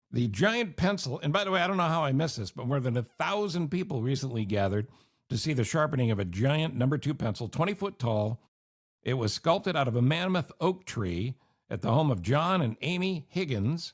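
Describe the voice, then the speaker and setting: A man speaks at a fairly quick pace with very wide pitch swings and a somewhat breathy voice, on a very clean recording with a silent background. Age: 60s. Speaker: podcast host, former radio host. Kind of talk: casual chat.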